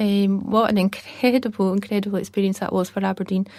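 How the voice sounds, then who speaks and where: A woman talks with a Scottish accent at a medium pitch. Her intonation is monotone and flat, at a fairly quick pace. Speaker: documentary director. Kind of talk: podcast interview. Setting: podcast. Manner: hesitant, many fillers.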